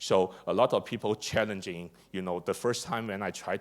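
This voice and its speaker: A man with a Chinese accent speaks at a fairly quick pace, fairly low in pitch and in a flat monotone. The recording is very clean with a silent background. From China. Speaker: district energy engineer and conference speaker. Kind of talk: conference presentation. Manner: hesitant, many fillers and repetitions; hurried.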